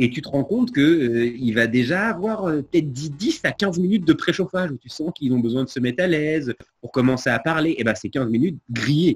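A man's fairly high, somewhat breathy voice at a fairly quick pace, lively in intonation, with big swings in loudness and hardly any pauses. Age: 40s. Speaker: comedian and radio presenter. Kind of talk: casual chat.

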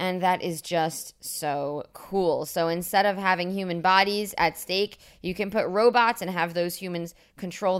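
A plain, everyday voice from a woman, fairly low in pitch, at a moderate pace, on a very clean recording with a silent background. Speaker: news podcast host. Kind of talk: casual monologue; news reading. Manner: upbeat.

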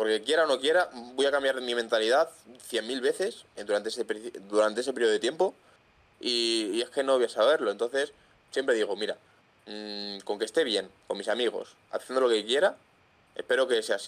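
A man with a normal speaking voice moves at a fairly quick pace, his medium pitch showing ordinary pitch variation. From Madrid, Spain. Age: 20s. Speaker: content creator with tetraplegia. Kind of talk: casual interview chat. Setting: video call.

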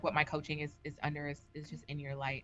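This woman's very deep, low voice has a bright, sharp tone. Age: 30s. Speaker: educator and life coach. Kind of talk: casual chat.

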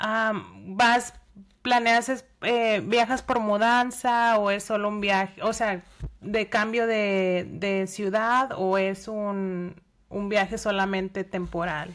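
In a very clean recording with a silent background, a woman speaks very slowly in a fairly high voice with ordinary pitch variation. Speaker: podcast host. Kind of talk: interview.

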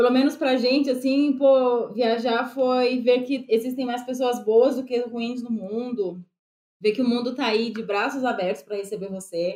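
Fairly even intonation and a moderate pace go with a dark, mellow tone. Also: woman, high pitch for a woman. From Brazil. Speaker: travel content creator. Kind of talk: casual interview.

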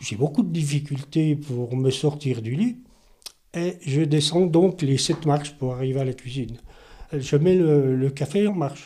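Somewhat breathy and fairly high for a man, his dark, mellow voice has ordinary pitch variation. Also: fairly slow pace. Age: 70s. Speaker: stroke survivor, retiree. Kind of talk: testimony.

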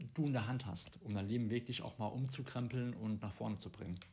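Somewhat breathy speech comes through. It is a man's voice. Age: 30s. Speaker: podcast host, coach and trainer. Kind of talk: casual chat. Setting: abroad on Koh Samui.

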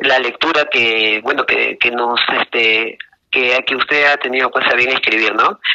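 A man talks at a fairly slow pace in a medium pitch. His intonation is fairly even and his loudness very even. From Peru, Lima. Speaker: book club member. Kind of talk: casual chat. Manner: halting, many fillers.

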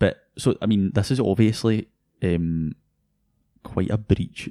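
A man with a Scottish accent speaks at a very slow pace with long, frequent pauses, his pitch fairly low, his tone dark and mellow, and his pitch variation ordinary. The sound is dry and close with no echo, and the recording is very clean with a silent background. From Scotland, North Lanarkshire. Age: 20s. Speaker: tech podcast co-host, university student. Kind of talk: casual chat.

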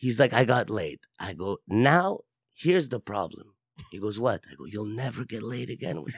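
A man speaks with an American accent at a medium pitch and a moderate pace. The sound is dry and close, with no echo. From US West Coast, Los Angeles. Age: 40s. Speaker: guest. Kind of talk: casual chat.

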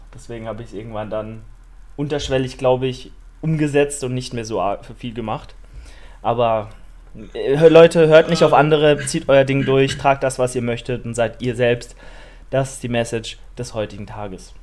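At a moderate pace, a man speaks with medium pitch and ordinary pitch variation, leaving long, frequent pauses. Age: 20s. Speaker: fitness podcast host. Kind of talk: casual chat.

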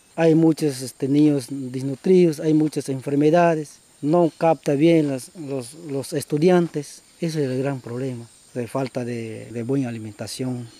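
At a fairly slow pace, a man speaks with a fairly high pitch and ordinary pitch variation over noticeable background noise. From Peruvian Amazon, Shipibo community. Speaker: former community chief. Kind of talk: interview testimony.

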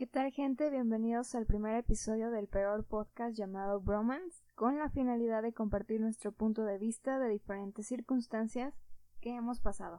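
Her voice fairly high with a dark, mellow tone, a woman speaks at a moderate pace with fairly even intonation. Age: 20s. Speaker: podcast host. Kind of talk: casual chat.

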